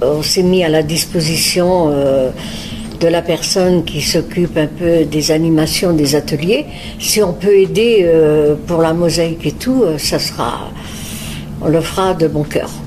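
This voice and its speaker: Very slowly and at very even loudness, a woman talks at a fairly low pitch with ordinary pitch variation over noticeable background noise. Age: 80s+. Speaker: retirement home resident. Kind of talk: testimony. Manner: hesitant, many filler words.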